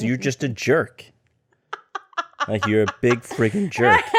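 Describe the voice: A gruff, put-on character voice from a man, medium in pitch, with lively intonation and a fairly slow pace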